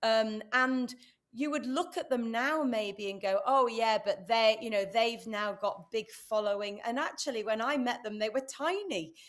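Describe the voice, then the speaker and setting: A woman speaks with a British accent at a fairly high pitch and ordinary pitch variation. Her pace is fairly slow, with hardly any pauses. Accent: UK. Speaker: entrepreneur and speaker. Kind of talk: interview. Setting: live stream.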